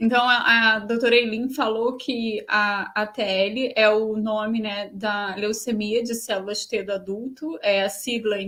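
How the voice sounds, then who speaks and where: Noticeable background noise sits under a woman's voice. She has a fairly high pitch and keeps a moderate pace. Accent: Portuguese. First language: Portuguese. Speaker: host and interpreter. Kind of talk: live interpretation in webinar.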